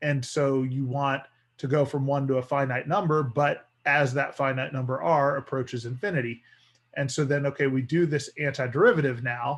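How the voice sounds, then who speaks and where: A man's somewhat breathy, fairly high voice with fairly even intonation. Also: moderate pace. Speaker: math teacher. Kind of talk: lecture.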